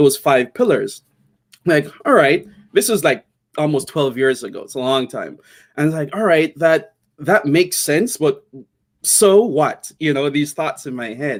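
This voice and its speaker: A man speaks fairly slowly with a Jamaican accent in a fairly high voice. His intonation is lively and his loudness swings widely. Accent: Jamaican, kept. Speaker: tech entrepreneur. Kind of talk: interview. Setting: live video stream. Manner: casual, with many fillers.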